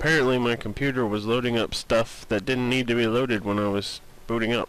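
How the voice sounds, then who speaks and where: At a moderate pace and a medium pitch, a man talks in an ordinary speaking voice. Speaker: let's play gamer. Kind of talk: casual gameplay commentary.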